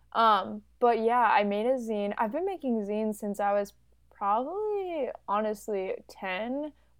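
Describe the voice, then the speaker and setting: At a fairly slow pace, a woman speaks in a normal speaking voice with a fairly high pitch. Her pitch variation is ordinary. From Chicago, US Midwest. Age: 20s. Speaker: art student and photographer. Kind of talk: casual chat.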